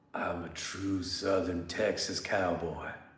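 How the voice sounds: Putting on a character voice, a man speaks with a very deep, low pitch in a monotone, flat delivery at a fairly slow pace, with slight echo.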